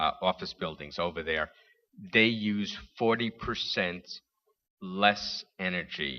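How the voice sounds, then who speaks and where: A very slow delivery in a New York accent, with long, frequent pauses and ordinary pitch variation. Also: man, very deep, low pitch for a man. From New York City. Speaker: panelist. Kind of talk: panel discussion. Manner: halting.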